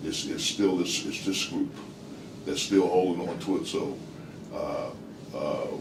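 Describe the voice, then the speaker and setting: A man with an American accent at a fairly slow pace, audible room echo and noticeable background noise behind him. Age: 60s. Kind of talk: group discussion. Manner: halting, many repeated words.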